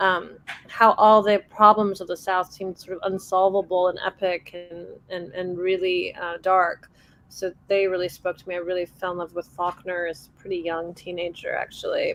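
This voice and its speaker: A woman's medium-pitched voice, flat and monotone, with big swings in loudness. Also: moderate pace. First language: Persian. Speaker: author. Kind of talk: panel discussion.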